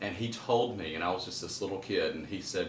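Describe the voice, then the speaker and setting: The speech has a Southern US accent and a fairly quick pace. Room echo is audible, and background noise is noticeable. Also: man. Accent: Southern US (Georgia). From US South, Middle Georgia (Kathleen). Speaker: garden designer and author. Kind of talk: interview. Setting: at his home.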